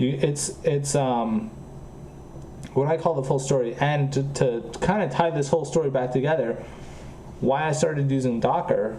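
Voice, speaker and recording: There is audible room echo as a man talks at a moderate pace. His pitch is medium and his intonation fairly even. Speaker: programming streamer. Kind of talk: casual chat. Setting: live stream. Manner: slightly slurred pronunciation.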